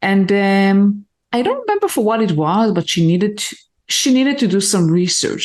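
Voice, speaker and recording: A woman's medium-pitched voice with lively intonation at a moderate pace, music in the background. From Israel. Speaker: engineering leader. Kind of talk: podcast interview.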